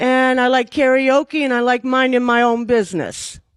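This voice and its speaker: A high-pitched woman's voice on a very clean recording with a silent background. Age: 60s. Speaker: dating show contestant. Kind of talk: interview answers.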